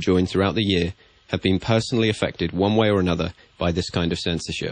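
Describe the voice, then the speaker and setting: Fairly low in pitch, the man's voice keeps a fairly even intonation. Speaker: science YouTuber. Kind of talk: spoken commentary voice-over. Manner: monotone.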